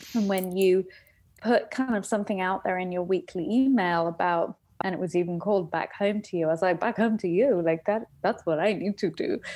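In an English accent, a woman speaks at a fairly quick pace in a medium pitch with ordinary pitch variation and a dark, mellow tone, on a very clean recording with a silent background. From England. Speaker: coaching client. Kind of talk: personal testimony in interview.

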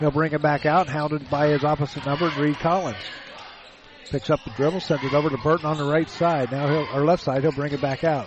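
A man speaks with a fairly high pitch and monotone, flat intonation. Noticeable background noise can be heard. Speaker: play-by-play announcer. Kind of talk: live sports commentary. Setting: gym courtside broadcast.

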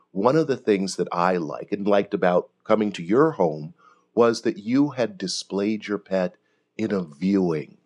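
A man's plain, everyday voice, fairly low in pitch, with lively intonation at a moderate pace against a quiet background. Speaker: pet cremation business owner. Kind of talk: interview, conversational.

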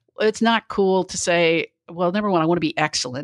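A woman has a plain, everyday voice with a fairly low pitch. She talks at a fairly quick pace with ordinary pitch variation. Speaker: speaker and HR talent consultant. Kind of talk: casual interview.

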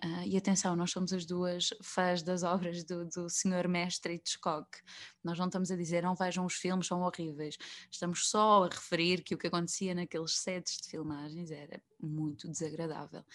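Against a quiet background, a woman with a fairly low voice talks at a moderate pace in a monotone, flat intonation. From central Portugal (Coimbra, Viseu). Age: 20s. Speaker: actress. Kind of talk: interview conversation. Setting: video call.

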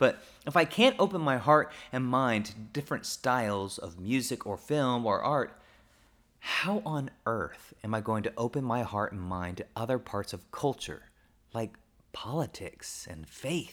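On a very clean recording with a silent background, a man with an American accent uses an ordinary speaking voice at medium pitch, speaking at a fairly slow pace with lively intonation and big swings in loudness. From Oklahoma, US. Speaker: pastor. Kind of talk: personal reflection monologue. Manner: casual, conversational.

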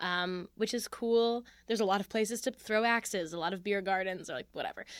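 On a very clean recording with a silent background, a woman with a normal speaking voice of medium pitch talks at a fairly quick pace with fairly even intonation. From Philadelphia. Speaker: comedian. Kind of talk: casual chat.

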